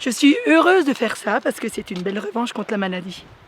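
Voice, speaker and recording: Amid noticeable background noise, a woman speaks very fast. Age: 60s. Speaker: cancer survivor, mountain trek participant. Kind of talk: documentary interview testimony. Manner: halting, with hesitations.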